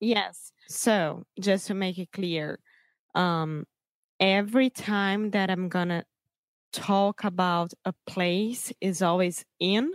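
A woman with a Portuguese accent talks very slowly at a medium pitch, her intonation fairly even, in a dry, close recording with no echo. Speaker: co-host, English learner. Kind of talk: casual lesson. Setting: remote call.

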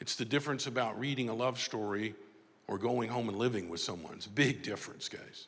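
At a fairly quick pace, a plain, everyday voice with an American accent speaks with ordinary pitch variation. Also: man. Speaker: motivational speaker and author. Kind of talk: speech.

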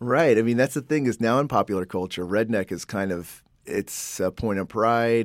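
A man speaks in a plain, everyday voice with lively intonation at a moderate pace. The recording is very clean, with a silent background. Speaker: professor and podcast host. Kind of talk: educational podcast narration and interviews.

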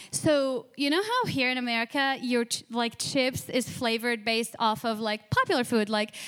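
This woman talks at a moderate pace in a high pitch. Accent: Arabic. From Jordan, Amman. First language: Arabic. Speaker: church member giving testimony. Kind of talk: testimony. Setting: stage with audience.

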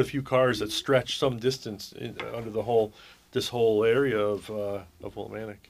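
A man with an ordinary speaking voice, medium in pitch, at a fairly quick pace, on a very clean recording with a silent background. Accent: American. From Connecticut, US. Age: 50s. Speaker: fire chief. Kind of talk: radio interview.

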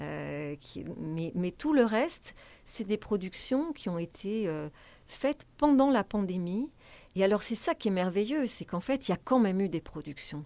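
At a fairly slow pace, a dark, mellow voice moves through very wide pitch swings in a very clean recording with a silent background. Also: woman, medium pitch for a woman. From France. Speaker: festival director. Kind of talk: interview.

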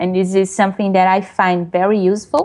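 A medium-pitched woman's voice with a Portuguese accent. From Brazil. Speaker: web developer and technical writer. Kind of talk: interview. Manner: hesitant, many fillers.

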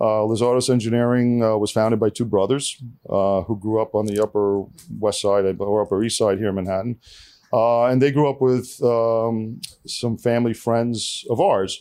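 Dark and mellow in tone, a man's voice carries a New York accent and fairly even intonation. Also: medium pitch for a man, moderate pace, quiet background. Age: 50s. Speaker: engineering firm founder. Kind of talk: casual interview chat. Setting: studio.

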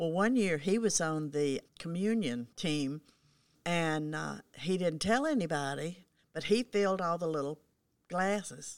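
In a Southern US accent, a woman with a fairly low voice speaks at a fairly slow pace with lively intonation, captured in a very clean recording with a silent background. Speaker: longtime church member. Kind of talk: casual chat.

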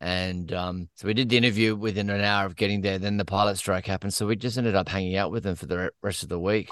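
Over a quiet background, a man with an Australian accent talks at a very fast pace with hardly any pauses, his fairly low pitch held in fairly even intonation. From Australia (Queensland). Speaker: TV writer, producer and actor. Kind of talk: casual podcast interview.

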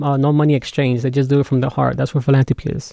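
A man's fairly high, dark and mellow voice with an American accent and fairly even intonation. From Las Vegas, US. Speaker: music producer and guest co-host. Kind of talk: casual interview.

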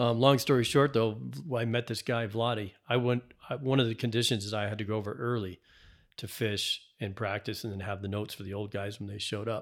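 With an American accent, a man speaks in a plain, everyday voice at a medium pitch, using fairly even intonation at a fairly quick pace on a very clean recording with a silent background. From New England, Massachusetts. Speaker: fly fishing angler and author. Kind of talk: casual chat.

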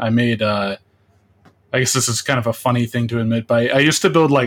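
This man talks in a normal speaking voice, at a medium pitch with fairly even intonation. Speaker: indie game artist. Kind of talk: interview.

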